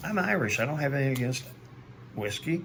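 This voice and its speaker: A man speaks with ordinary rises and falls in pitch as the room audibly echoes his voice. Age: 60s. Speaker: recovering alcoholic, video blogger. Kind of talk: personal video monologue. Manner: hesitant, many fillers.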